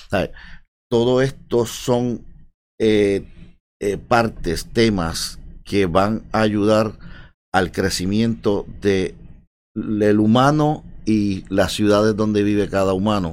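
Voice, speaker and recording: A man speaks very slowly at a fairly low pitch, with long, frequent pauses. His intonation is fairly even, and the recording is very clean with a silent background. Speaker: tech coworking space co-founder. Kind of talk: casual interview.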